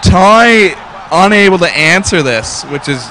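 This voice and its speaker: Noticeable background noise sits behind a man speaking with a Canadian accent. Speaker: esports commentator. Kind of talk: live commentary; casual chat.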